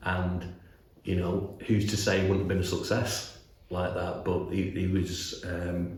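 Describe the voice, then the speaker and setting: A man talks in a very deep, low voice with monotone, flat intonation. Audible room echo and noticeable background noise fill the recording. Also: fairly slow pace. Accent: Mancunian. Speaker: animation studio executive. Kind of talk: interview. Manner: halting, many repetitions and fillers.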